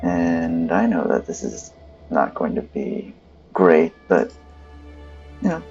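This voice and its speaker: Over music in the background, a man speaks at a very slow pace, leaving long, frequent pauses. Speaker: gamer commentator. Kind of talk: casual gameplay commentary. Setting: bluetooth headset recording.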